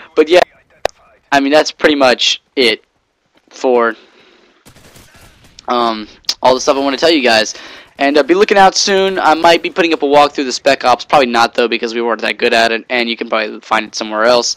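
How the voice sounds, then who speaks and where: Speaking at a fairly quick pace with long, frequent pauses, a man at medium pitch uses ordinary pitch variation, and the sound is dry and close with no echo. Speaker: gaming commentator. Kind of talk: casual game commentary monologue. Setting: home bedroom. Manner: fast; halting, many fillers.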